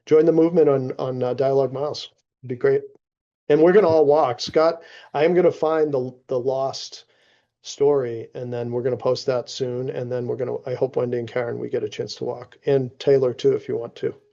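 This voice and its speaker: Fairly quick, fairly even speech from a man at medium pitch, with a dark, mellow tone. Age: 60s. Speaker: executive advisor, former CEO. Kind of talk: casual chat.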